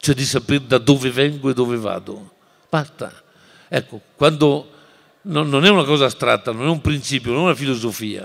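With a quiet background, a man talks at a moderate pace and fairly high pitch, showing ordinary pitch variation and long, frequent pauses. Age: 60s. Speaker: teacher and writer; teacher. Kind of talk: lecture. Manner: animated. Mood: passionate, expressive. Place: hall. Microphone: podium.

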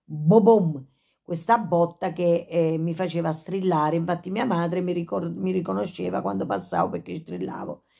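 A woman speaks at a fairly low pitch against a quiet background. Her tone is dark and mellow. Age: 50s. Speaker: YouTuber with Tourette syndrome. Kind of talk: casual vlog monologue. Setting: at home, in bed. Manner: frequent vocal tics and sudden exclamations; halting, with many fillers. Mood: reflective, a bit agitated. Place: home room. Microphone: phone near.

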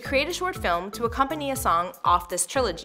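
A woman talks at a moderate pace. Clear music plays behind her. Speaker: web show host. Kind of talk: scripted show hosting. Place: studio.

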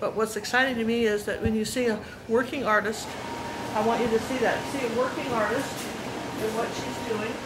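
Loud background noise surrounds the recording. A woman speaks at a fairly quick pace. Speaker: visitor vlogger. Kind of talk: casual vlog chat. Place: shop. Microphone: phone near.

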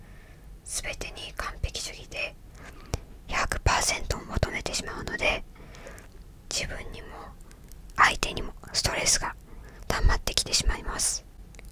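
Whispering and soft-spoken, the voice moves at a very slow pace with long, frequent pauses, dry with no echo, over light background noise. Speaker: video creator. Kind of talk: calm reflective talk going through a personality list. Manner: soft close-mic ASMR whisper. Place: home room. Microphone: studio mic.

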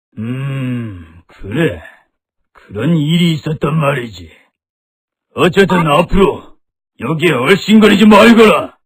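A loud, raspy, cartoonish character voice from a man, fairly high in pitch and fairly slow in pace. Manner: commanding.

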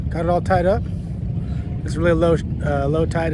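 A man talks at a fairly quick pace. The sound is dry with no echo, over loud background noise. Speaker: pilot vlogger. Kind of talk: casual vlog chat. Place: waterside. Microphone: phone near.

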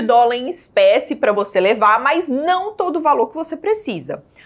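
A woman speaks at a moderate pace, her pitch swinging very widely. The background is quiet. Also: hardly any pauses, big swings in loudness. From Brazil. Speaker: financial educator. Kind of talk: tutorial. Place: studio. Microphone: lapel.

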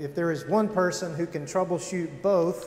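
A man's high-pitched voice with light background noise and audible room echo. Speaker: pastor. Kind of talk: announcements before sermon. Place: church. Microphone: podium.

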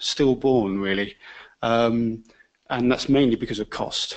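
A man speaks at a moderate pace in a British accent, with a quiet background. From UK. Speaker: engineering organisation chair; presenter. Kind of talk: panel presentation. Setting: lecture hall with audience. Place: classroom.

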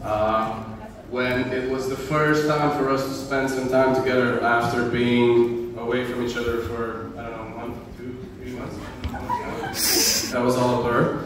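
A man at a fairly slow pace, with strong room echo and noticeable background noise. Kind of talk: stage banter introducing a song. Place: hall.

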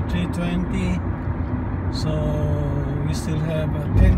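A man at a very slow pace over loud background noise. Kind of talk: casual travel commentary. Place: car. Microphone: phone near.

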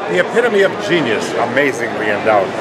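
Loud background noise runs behind the recording. A man speaks at a moderate pace. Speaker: retired pro wrestler. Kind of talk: improvised wrestling promo. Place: hall. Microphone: phone near.

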